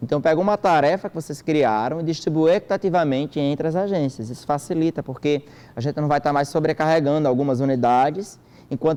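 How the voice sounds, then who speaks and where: A dark, mellow tone delivered at a fairly quick pace. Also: man. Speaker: government agency trainer presenting a system. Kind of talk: training presentation. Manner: fast.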